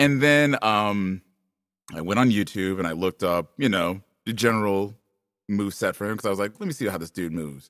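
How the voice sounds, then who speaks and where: A man with an ordinary speaking voice, pitched fairly low, with ordinary pitch variation. The recording is very clean, with a silent background. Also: fairly quick pace. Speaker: voice actor. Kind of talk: casual chat.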